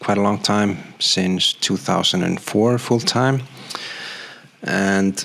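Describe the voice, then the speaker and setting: Over noticeable background noise, the speaker talks at a very slow pace with long, frequent pauses, ordinary pitch variation, and very even loudness. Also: man, fairly low pitch for a man. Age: 40s. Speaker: graphic designer and vlogger. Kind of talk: personal vlog monologue. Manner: hesitant, many fillers.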